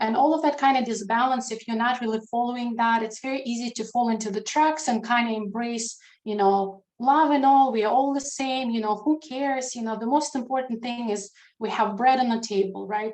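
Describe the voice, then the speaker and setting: With a Ukrainian accent, a woman speaks at a fairly quick pace. Her voice is high-pitched and her intonation fairly even. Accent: Russian-speaking Ukrainian accent in English. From Ukraine, Crimea. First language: Russian. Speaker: international affairs expert. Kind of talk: online talk. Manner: halting, many fillers.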